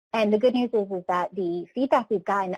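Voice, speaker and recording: At a very fast pace, a woman with a medium pitch and ordinary pitch variation speaks in a dry, close sound with no echo. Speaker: training program presenter. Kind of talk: webinar presentation.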